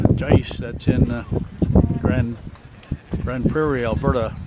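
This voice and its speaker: Amid noticeable background noise, a man with a Newfoundland accent speaks slowly at a medium pitch with fairly even intonation. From Newfoundland, St. Lawrence. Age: 60s. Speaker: amateur sports commentator and live streamer. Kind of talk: live commentary. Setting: outdoors at a sports field.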